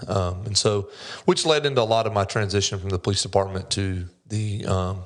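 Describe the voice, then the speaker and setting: Here a man talks with a Southern US accent at a fairly quick pace. His pitch is fairly low with ordinary variation, and the recording is very clean with a silent background. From US South, North Carolina. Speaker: commercial loan officer, former police officer. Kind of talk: podcast interview.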